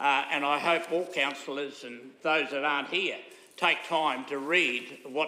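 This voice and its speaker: With an Australian accent, a man speaks at a fairly high pitch amid noticeable background noise and audible room echo. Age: 80s+. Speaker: local councillor. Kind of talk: council meeting debate. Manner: halting, many fillers.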